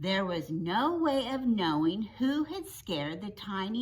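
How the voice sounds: Here is a natural reading voice. It reads through the passage.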